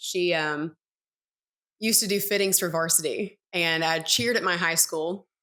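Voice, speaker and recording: Speaking with a Tennessee accent, a woman keeps a moderate pace at a fairly low pitch in a bright, sharp tone. The recording is very clean, with a silent background. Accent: Southern US (Tennessee). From US South, East Tennessee. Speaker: entrepreneur, former college dancer. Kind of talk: podcast interview.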